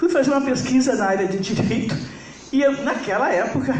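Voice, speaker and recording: A woman's pitch swings very widely as she talks. The room echo is audible, and there is noticeable background noise. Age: 70s. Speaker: psychologist. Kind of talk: lecture.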